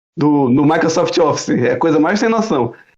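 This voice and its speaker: Speaking at a fairly quick pace, a man uses a high voice. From Brazil. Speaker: YouTuber. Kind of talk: casual chat.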